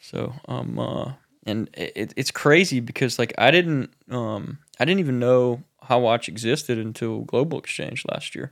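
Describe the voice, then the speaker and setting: Recorded very cleanly over a silent background, a man speaks at a fairly slow pace. He has an unremarkable speaking voice, a medium pitch, and ordinary pitch variation. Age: 40s. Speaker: podcast co-host, counselor. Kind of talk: casual interview. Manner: casual, swears.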